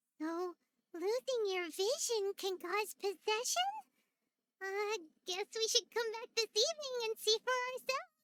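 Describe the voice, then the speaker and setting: At a moderate pace, a squeaky put-on character voice speaks at an extremely high pitch. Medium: video game. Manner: inquisitive, lively.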